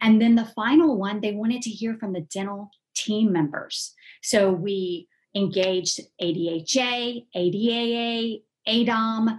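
With an American accent, a woman speaks very slowly in a somewhat breathy voice, at a fairly high pitch with ordinary pitch variation. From US South, Columbus, Georgia. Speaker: dental association executive director. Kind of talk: interview. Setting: home office. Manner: hesitant, many fillers.

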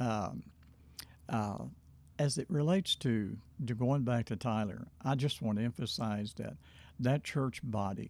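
A man with a Southern US accent talks at a fairly slow pace. His medium pitch shows ordinary variation. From Arkansas, Hope. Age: 70s. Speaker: pastor. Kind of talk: interview about his life. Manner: unhurried, hesitant fillers.

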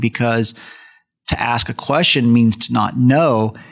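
At a medium pitch and a fairly slow pace, a man talks in an ordinary speaking voice. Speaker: podcast host and co-host. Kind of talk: casual panel discussion.

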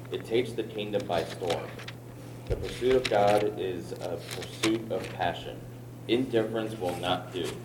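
Over noticeable background noise, a man with a fairly low pitch talks at a fairly slow pace with fairly even intonation. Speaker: congregation member. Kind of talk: reading aloud.

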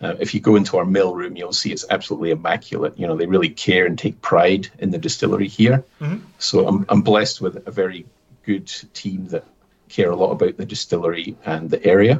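Talking at a very fast pace, a man with a Scottish Highland accent has a fairly low pitch and ordinary pitch variation. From Scottish Highlands (Aviemore). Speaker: distillery manager. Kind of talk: interview.

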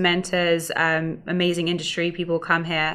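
With an English accent, a woman talks at a fairly quick pace in a fairly low pitch and a bright, sharp tone. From London area, England. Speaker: startup founder. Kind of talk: interview.

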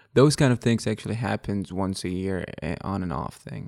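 In an Arabic accent, a man speaks at a moderate pace and a fairly low pitch. His tone is dark and mellow, with ordinary pitch variation. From Iraq, Baghdad. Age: 30s. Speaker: podcast guest. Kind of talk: casual chat. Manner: halting.

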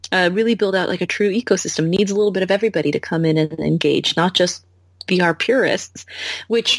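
Here is a woman with an ordinary speaking voice. Her pitch is medium, with ordinary pitch variation. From United States. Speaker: founder and CEO of a VR company. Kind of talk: casual interview.

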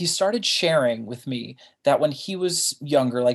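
Against a quiet background, a man speaks in a plain, everyday voice. He has a fairly high pitch and a moderate pace. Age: 30s. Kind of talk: interview. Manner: casual, frequent laughter.

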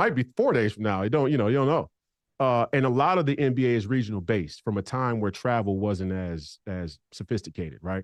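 Recorded with a dry, close sound, no echo and a quiet background, a man talks fairly quickly at a medium pitch with lively intonation. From Minneapolis, Minnesota. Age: 30s. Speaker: politician and former basketball player. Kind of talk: interview.

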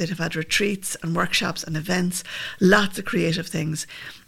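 A woman talks fairly quickly with a Limerick accent. Her pitch sits in the medium range. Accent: Irish (Limerick). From Limerick, Ireland.

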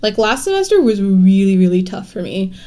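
A woman of medium pitch speaks in a plain, everyday voice. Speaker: university student leader. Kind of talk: casual conversation.

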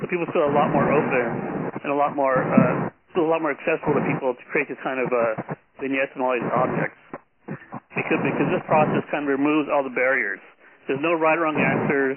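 A man talks at a very fast pace with an American accent, his pitch fairly high and his intonation fairly even. Noticeable background noise runs behind him. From Los Angeles. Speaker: city planner and artist. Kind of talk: conference call presentation. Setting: phone call. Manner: halting, many repetitions. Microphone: poor sound quality early in talk.

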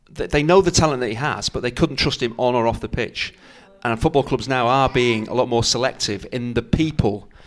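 Using a normal speaking voice, a man at a medium pitch talks at a fairly quick pace with fairly even intonation. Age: 50s. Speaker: former footballer and co-commentator. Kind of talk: casual chat.

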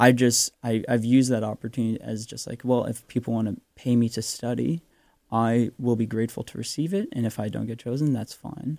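A man with a Canadian accent speaks at a fairly quick pace in a medium pitch, his intonation fairly even. The recording is very clean with a silent background and a dry, close sound with no echo. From Vancouver, western Canada. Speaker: medical student. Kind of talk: radio interview. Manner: halting, hedging with fillers.

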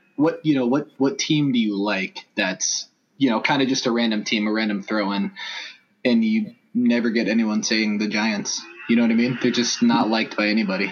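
Delivered at a moderate pace with ordinary pitch variation, this is an unremarkable speaking voice with an American accent. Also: man, medium pitch for a man. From Los Angeles. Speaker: sports fan blogger. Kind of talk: casual chat.

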